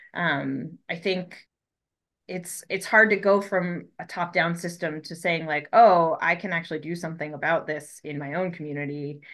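A woman's normal speaking voice with an American accent, fairly low pitch, fairly even intonation, and moderate pace over a quiet background. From Colorado, US. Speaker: fisheries ecologist. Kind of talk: interview.

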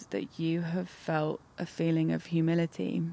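A woman talks at a fairly low pitch in an unremarkable speaking voice. The recording is very clean, with a silent background. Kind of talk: guided meditation. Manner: slow, calm, soft-spoken, gently paced with pauses.

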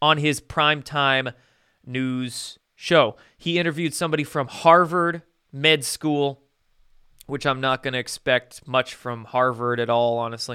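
On a very clean recording with a silent background, a man speaks in a plain, everyday voice at a fairly high pitch, with fairly even intonation and a fairly slow pace. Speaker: independent online news commentator. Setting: solo video broadcast to viewers. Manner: direct, conversational address to viewers, with laughs.

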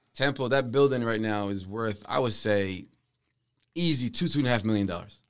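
On a very clean recording with a silent background, a man talks at a fairly quick pace in a plain, everyday voice, medium in pitch with ordinary pitch variation. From Palestinian, raised in Saudi Arabia then Philadelphia area, USA. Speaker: real estate investor. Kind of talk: casual chat.

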